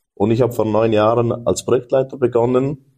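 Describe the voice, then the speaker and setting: A man's dark, mellow tone at a moderate pace. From Switzerland. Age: 30s. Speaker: business owner. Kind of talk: interview conversation.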